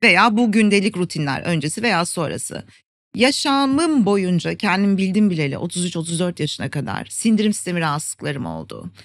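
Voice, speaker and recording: Here a woman uses a normal speaking voice at medium pitch, moving at a moderate pace with lively intonation. The recording is very clean, with a silent background. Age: 50s. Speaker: Ayurveda expert and wellbeing educator. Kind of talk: interview.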